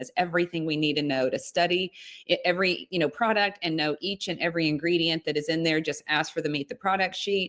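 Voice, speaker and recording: Music plays in the background as a woman with a fairly low pitch speaks in an enthusiastic tone. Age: 60s. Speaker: direct sales leader. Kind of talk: sales pitch.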